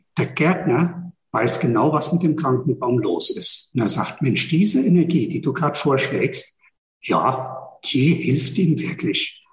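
A man with a fairly high voice talks very slowly, his pitch varying in an ordinary way. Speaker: energy work practitioner. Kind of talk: podcast interview.

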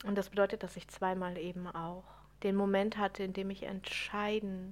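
A woman at a medium pitch and moderate pace, in a monotone, flat intonation. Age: 30s. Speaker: podcast host, spiritual coach. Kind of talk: solo podcast monologue. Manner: unscripted, many fillers.

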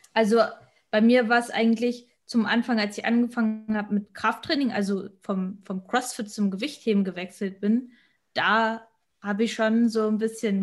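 A woman with a fairly high, somewhat breathy voice speaks at a moderate pace and with fairly even intonation. The recording is very clean, with a silent background. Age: 20s. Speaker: amateur physique athlete. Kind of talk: casual chat.

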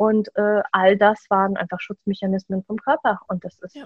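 At a moderate pace, a woman talks in a somewhat breathy voice of medium pitch. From Germany. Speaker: trainee psychotherapy practitioner and podcaster. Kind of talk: personal testimony in interview.

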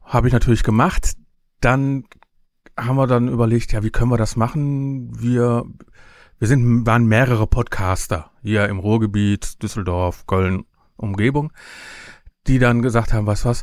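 Speaking at a moderate pace with long, frequent pauses, a man holds a medium pitch with ordinary pitch variation. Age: 50s. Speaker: podcaster and event organizer. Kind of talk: casual interview. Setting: video call.

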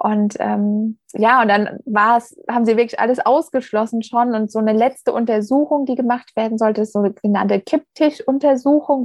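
A plain, everyday voice at a moderate pace, with ordinary pitch variation and a dry, close sound with no echo. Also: woman. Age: 30s. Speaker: former business owner, cardiac arrest survivor. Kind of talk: interview, personal story.

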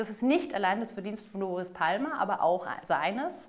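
A woman with an unremarkable speaking voice talks at a fairly quick pace, her medium pitch carrying lively intonation. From southern Germany, Ostalb (Aalen), Baden-Württemberg. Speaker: mayoral candidate, politician. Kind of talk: political interview.

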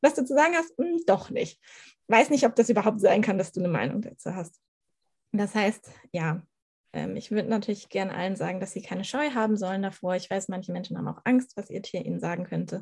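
With vocal fry and lively intonation, a woman at a medium pitch speaks with long, frequent pauses. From northern Germany, Schleswig-Holstein. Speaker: animal communicator. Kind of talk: podcast interview.

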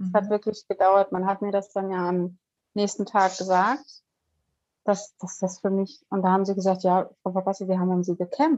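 Speaking at a moderate pace, a woman has a medium-pitched voice. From northern Germany, Kiel. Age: 40s. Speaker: near-death experience survivor. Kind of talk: personal testimony interview. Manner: hesitant, many fillers.

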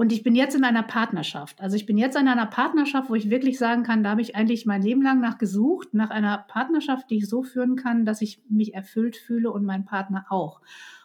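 With an unremarkable speaking voice, a woman speaks at a fairly quick pace with hardly any pauses, a fairly high pitch, and ordinary pitch variation. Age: 50s. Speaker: psychotherapist and couples coach. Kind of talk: casual interview.

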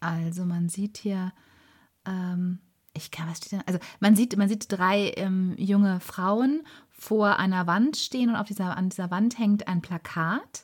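A woman with a somewhat breathy, medium-pitched voice speaks at a very slow pace with ordinary pitch variation, recorded very cleanly against a silent background. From Germany, Ruhr area (Bochum). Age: 40s. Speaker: podcast co-host, former press officer. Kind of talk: casual storytelling chat.

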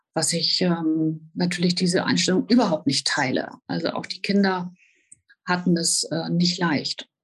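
At a fairly slow pace, a woman speaks in a somewhat breathy voice with a fairly low pitch and fairly even intonation. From northern Germany, Hannover. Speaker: professional horse rider and author. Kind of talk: personal testimony in interview. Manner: hesitant, many filler sounds.

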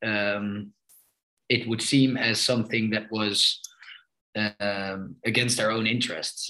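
At a fairly slow pace, a man with a Dutch accent speaks at medium pitch in a bright, sharp tone with fairly even intonation. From Amsterdam, Netherlands. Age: 30s. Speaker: politician, party co-president. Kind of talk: podcast interview. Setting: video call.

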